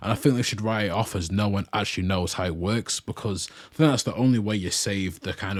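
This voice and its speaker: Talking at a fairly quick pace, a man uses a very deep, low pitch with ordinary pitch variation. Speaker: anime reaction youtuber. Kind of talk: reaction commentary. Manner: casual, repetitive.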